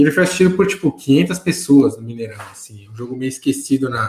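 Lively intonation runs through the speech. The voice has a somewhat breathy quality. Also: man. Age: 30s. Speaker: football commentator. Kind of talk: casual chat.

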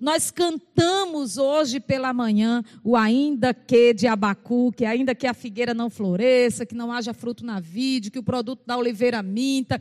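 Dry, close sound with no echo around a woman's high voice. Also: ordinary pitch variation, moderate pace. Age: 50s. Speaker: pastor. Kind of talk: sermon.

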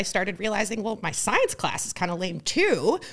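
A woman with a Midwestern accent speaks at a fairly quick pace and fairly high pitch in a very clean recording with a silent background. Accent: General American (Midwest). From US Midwest (rural Ohio). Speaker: tech startup founder. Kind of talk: podcast interview. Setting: studio.

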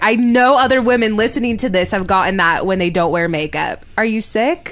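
A woman with an ordinary speaking voice, fairly high in pitch, with lively intonation. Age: 20s. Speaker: comedian and writer. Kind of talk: personal testimony in interview.

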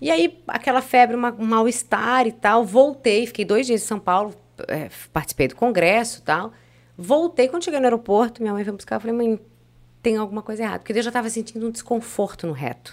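Intonation is lively and the pace fairly quick throughout this clip. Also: woman, fairly high pitch for a woman. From Blumenau, Santa Catarina, Brazil. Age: 40s. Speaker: radio presenter. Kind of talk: casual chat.

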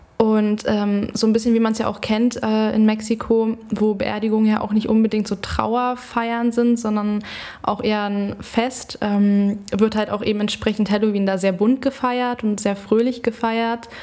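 A fairly high-pitched woman's voice, monotone and flat, fairly slow with hardly any pauses, over noticeable background noise. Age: 20s. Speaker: student teacher and children's party entertainer. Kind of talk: casual chat.

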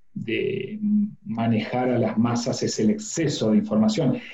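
A man's very slow speech with very wide pitch swings, audible room echo and noticeable background noise. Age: 40s. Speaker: communication and public speaking coach. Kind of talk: interview.

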